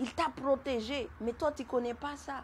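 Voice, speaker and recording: A woman talks fairly slowly in a high voice. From Madagascar. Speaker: testimony giver. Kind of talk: testimony. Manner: halting, repeats words.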